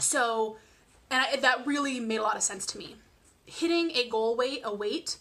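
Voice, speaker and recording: The woman's voice sits fairly high in pitch. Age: 20s. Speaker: vlogger sharing weight loss surgery journey. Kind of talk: casual vlog monologue. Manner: fast; many fillers and restarts.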